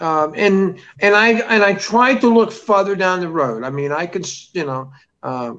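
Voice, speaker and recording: A man's high voice with a bright, sharp tone, lively intonation and a fairly slow pace. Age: 60s. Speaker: animal keeper and TV documentary cast member. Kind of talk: interview. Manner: halting, many fillers.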